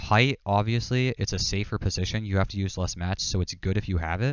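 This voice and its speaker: A man's fairly low voice with ordinary pitch variation, moving at a fairly quick pace. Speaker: gaming coach. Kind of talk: coaching session over gameplay. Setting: live stream call. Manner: fast; casual, filler-heavy.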